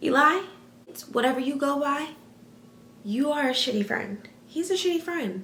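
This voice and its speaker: Over noticeable background noise and audible room echo, a raised, projected voice speaks at a moderate pace in an animated tone with very wide pitch swings. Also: woman. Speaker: youtuber. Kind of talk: casual reaction vlog.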